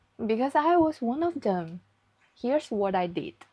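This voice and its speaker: A fairly slow pace in a Chinese accent. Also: woman. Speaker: vlogger. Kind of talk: vlog narration. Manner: careful, non-native.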